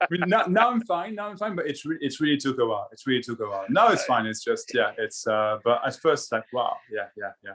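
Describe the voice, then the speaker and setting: The speaker has a French accent and talks at a fairly quick pace. The loudness swings a lot. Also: man. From France. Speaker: spiritual discussion guest. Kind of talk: casual chat. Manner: halting, many repetitions.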